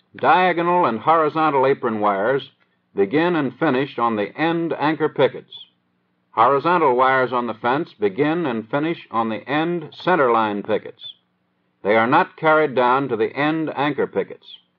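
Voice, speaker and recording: A man with a fairly high voice and an American accent, with ordinary pitch variation and a normal speaking voice. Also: moderate pace. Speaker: training film narrator. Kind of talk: 1930s US Army training film narration. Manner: formal, measured, dry instructional delivery; steady, matter-of-fact, newsreel-style cadence.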